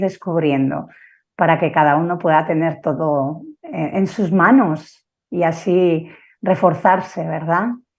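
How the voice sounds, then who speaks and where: A woman speaks in a Basque accent. Her pitch varies in an ordinary way. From Basque Country, San Sebastián. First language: Basque (speaking Spanish). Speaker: family constellation therapist and teacher. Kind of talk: conference talk. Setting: live online broadcast. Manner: halting, with fillers.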